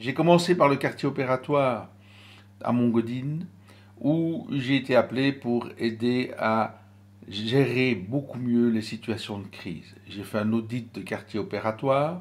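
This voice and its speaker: In a normal speaking voice, the pitch varies in an ordinary way. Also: man, medium pitch for a man, fairly slow pace. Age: 60s. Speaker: stress and crisis management trainer. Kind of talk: motivational talk with guided breathing exercise.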